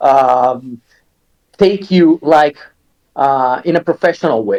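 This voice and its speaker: In an Italian accent, a man with a fairly high pitch speaks at a very slow pace with ordinary pitch variation, the sound dry and close with no echo. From Italy. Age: 40s. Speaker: metal singer and songwriter. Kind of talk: interview. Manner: hesitant, many fillers.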